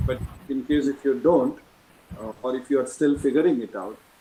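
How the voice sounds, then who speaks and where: A man's mid-pitched voice moves along at a moderate speed. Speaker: alumnus moderator. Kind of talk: panel discussion. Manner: soft-spoken. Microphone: too quiet.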